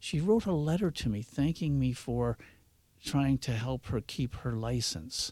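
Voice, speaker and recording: A man speaks with a Canadian accent and lively intonation. His voice is somewhat breathy, and the sound is dry and close with no echo. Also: very clean recording, silent background. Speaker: driving instructor. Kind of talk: radio interview. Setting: studio.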